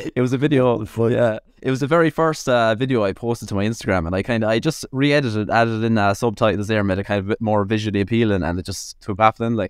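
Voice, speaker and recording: Speaking very fast with an Irish accent, a man uses a medium pitch and ordinary pitch variation. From Ireland, Tipperary. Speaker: nutritionist and content creator. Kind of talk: casual chat.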